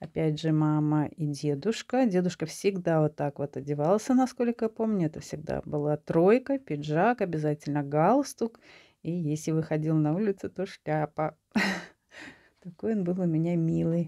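Her pitch very deep and low, a woman speaks with a dark, mellow tone and lively intonation. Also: moderate pace, quiet background. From Latvia. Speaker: video blogger. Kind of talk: casual monologue showing photos. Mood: warm, nostalgic. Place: home room. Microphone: phone near.

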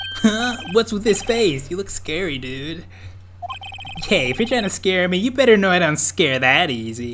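Over clear background noise, a man puts on a whiny character voice, high-pitched with very wide pitch swings, at a moderate pace. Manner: casual, whiny, slangy.

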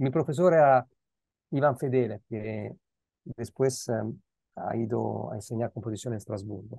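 A man with an Italian accent talks at a moderate pace in a dark, mellow tone with ordinary pitch variation, the sound dry with no echo over a quiet background. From Italy, Milan. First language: Italian (speaking Spanish). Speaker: philosopher, guest lecturer; guest lecturer. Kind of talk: academic Q&A discussion mixing Spanish and Italian. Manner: halting, with many repeated words. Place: home room. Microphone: earbuds.

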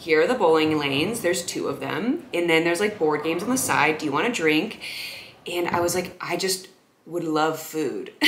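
Over light background noise and audible room echo, a woman speaks with a fairly low pitch and ordinary pitch variation. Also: moderate pace. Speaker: content creator. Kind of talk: casual storytelling vlog. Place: home room.

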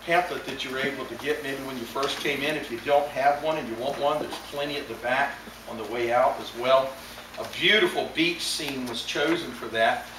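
With fairly even intonation and a moderate pace, the speech comes through audible room echo and noticeable background noise. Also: man. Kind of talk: sermon. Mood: solemn, gentle. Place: church. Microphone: camera far.

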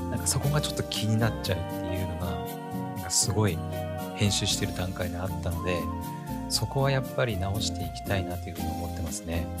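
Loud background noise sits behind a man talking at a very fast pace. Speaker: podcast host. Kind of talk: casual solo podcast talk. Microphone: studio mic.

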